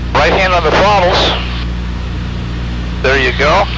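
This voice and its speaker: A man talks at a moderate pace, the sound dry with no echo, while loud background noise plays. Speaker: flight instructor. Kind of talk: cockpit instruction and radio calls. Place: plane. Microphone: headset.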